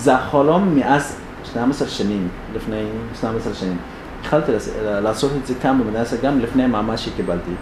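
With audible room echo and noticeable background noise, a man of medium pitch speaks at a moderate pace with ordinary pitch variation and long, frequent pauses. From Sudan, Darfur. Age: 20s. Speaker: refugee activist. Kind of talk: public talk. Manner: halting.

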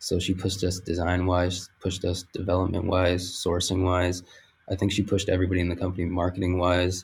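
A man with a very deep, low voice talks at a fairly quick pace, somewhat breathy, in a monotone, flat intonation with very even loudness. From Puerto Rican heritage, US. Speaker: apparel designer. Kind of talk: casual chat.

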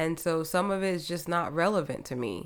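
A woman with an American accent speaks in a fairly low pitch and a warm tone. Her pace is fairly slow and her intonation fairly even. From US Northeast (New Jersey). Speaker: podcast host. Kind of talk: solo podcast monologue. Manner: casual, warm.

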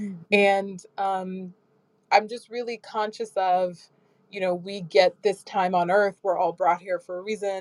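Monotone, flat intonation in an American accent at a fairly slow pace, with big swings in loudness. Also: woman, medium pitch for a woman. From US Midwest (Michigan, Minneapolis). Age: 30s. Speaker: tech marketing executive. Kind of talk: casual chat. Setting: live audio chat room.

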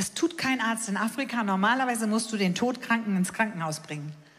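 An ordinary speaking voice, with usual pitch movement and a middling tempo. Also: woman. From Hamburg, northern Germany. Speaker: evangelist. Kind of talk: sermon.

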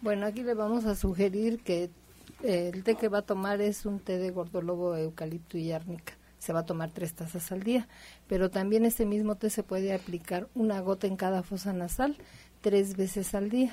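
Her voice is dark, mellow and somewhat breathy, at medium pitch. The woman keeps a moderate pace with fairly even intonation. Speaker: naturopathic doctor. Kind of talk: radio health advice.

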